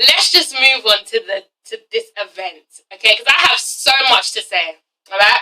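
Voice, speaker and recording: With an English accent, a woman speaks at a moderate pace in a fairly high pitch, her tone animated and her intonation lively. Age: 20s. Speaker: youtuber, TV reviewer. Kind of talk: casual vlog review.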